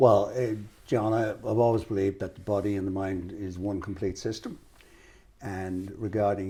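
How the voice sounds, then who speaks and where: Speaking at a moderate pace in an Irish accent, a man has a fairly low pitch, a somewhat breathy voice and a dark, mellow tone. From Ireland. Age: 70s. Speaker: financial adviser. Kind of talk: interview.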